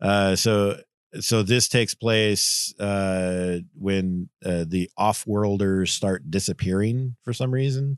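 Recorded with a dry, close sound with no echo and a quiet background, a man talks very slowly in a fairly low pitch. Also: ordinary pitch variation. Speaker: comic book podcast co-host. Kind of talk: casual chat.

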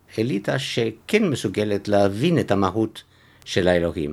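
Speech comes at a fairly slow pace with lively intonation, in a French accent. The recording is very clean, with a silent background. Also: man. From Belgium, Antwerp. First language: French (speaking Hebrew). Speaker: author. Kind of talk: interview. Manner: halting.

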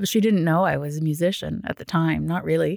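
A woman with a Canadian accent and a fairly low pitch uses an ordinary speaking voice on a very clean recording with a silent background. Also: dry, close sound with no echo. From Ottawa, Canada. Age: 40s. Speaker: children's author and teacher. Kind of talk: casual interview.

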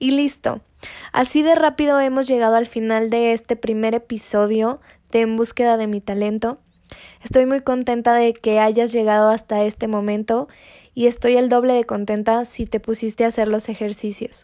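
At a moderate pace, a woman speaks in a fairly high pitch with a dark, mellow tone and monotone, flat intonation. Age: 20s. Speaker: podcast host, psychologist. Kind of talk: solo podcast monologue with self-help guidance.

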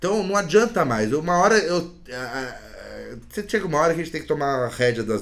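This man's voice swings very widely in pitch. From Brazil, central São Paulo. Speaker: jiu-jitsu practitioner, musician, recovering addict. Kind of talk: personal testimony in interview. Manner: halting, repeats words.

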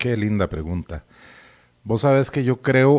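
A man speaks in an ordinary speaking voice at a moderate pace, his medium-pitched delivery carried by lively intonation. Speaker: veteran radio broadcaster. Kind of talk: interview.

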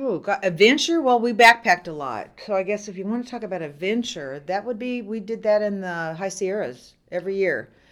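A woman with an American accent talks in a plain, everyday voice at a medium pitch, with lively intonation and big swings in loudness. She speaks at a fairly quick pace with hardly any pauses, on a very clean recording with a silent background. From Southern California. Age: 60s. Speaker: haunted attraction owner. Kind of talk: casual chat.

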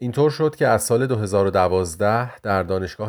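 At a moderate pace, a man talks with a plain, everyday voice pitched fairly low. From Iran, Tehran. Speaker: podcast host and music researcher. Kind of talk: scripted narration.

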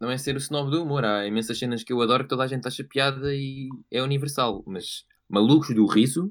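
Speaking at a fairly quick pace with a European Portuguese accent, a man uses a medium pitch with ordinary variation. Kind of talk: casual chat.

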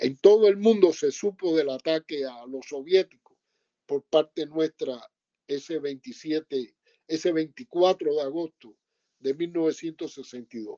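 Pitched fairly high, a man talks very slowly with ordinary pitch variation. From Cuba, Sagua la Grande (Las Villas). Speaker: former student activist and publisher. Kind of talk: testimony.

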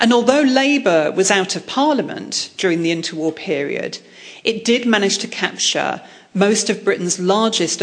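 A woman with an English accent speaks with lively intonation over noticeable background noise. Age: 40s. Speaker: historian. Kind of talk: lecture.

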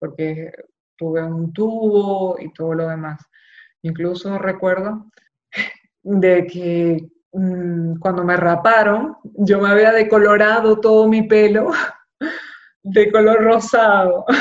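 A woman's medium-pitched voice at a very slow pace, with long, frequent pauses, ordinary pitch variation and big swings in loudness. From Venezuela, Maracaibo. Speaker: audiovisual producer and brain cancer survivor. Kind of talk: interview, personal testimony. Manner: halting, with repetitions after relearning speech.

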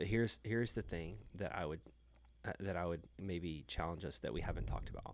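A man with an American accent and vocal fry. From Houston area, Texas. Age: 30s. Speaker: church planter. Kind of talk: casual chat.

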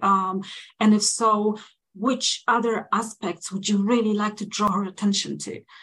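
A woman with a non-native accent speaks at a medium pitch. Her pace is fairly slow and her intonation monotone and flat. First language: not English. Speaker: podcast co-host. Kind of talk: interview conversation.

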